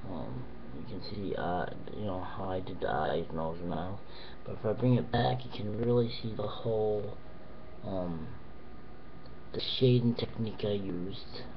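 A man's fairly low-pitched voice at a moderate pace, with ordinary pitch variation, long and frequent pauses, and noticeable background noise. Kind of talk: casual vlog chat. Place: home room. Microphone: webcam.

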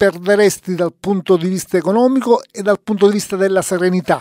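Against a quiet background, a man talks in a high voice, the sound dry with no echo. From Italy, Palermo (Sicily); Sicily. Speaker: radio host. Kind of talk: radio interview. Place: studio. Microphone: studio mic.

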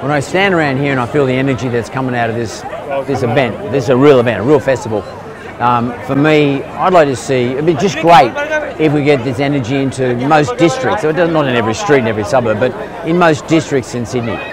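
With crowd noise in the background, a man talks at a very fast pace with ordinary pitch variation, in dry sound with no echo. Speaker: vlogger host. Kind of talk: casual vlog chat. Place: market.

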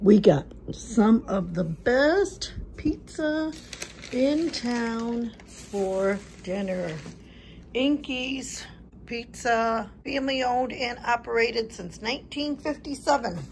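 The speech moves at a very slow pace with lively intonation over light background noise. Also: woman. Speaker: family vlogger. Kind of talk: casual vlog chat. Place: home room. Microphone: phone near.

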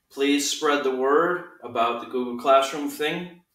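There is audible room echo but a quiet background as the man speaks. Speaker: teacher. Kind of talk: casual class announcement. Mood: friendly, upbeat. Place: home room. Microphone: camera far.

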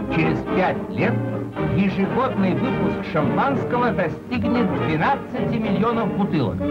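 The speech moves at a very slow pace beneath loud background noise. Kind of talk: newsreel narration. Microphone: old recording.

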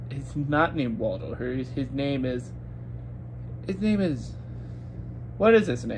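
This man's fairly slow delivery competes with noticeable background noise. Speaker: movie reviewer. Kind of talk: casual movie review vlog. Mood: relaxed, mildly unimpressed. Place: home room. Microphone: phone near.

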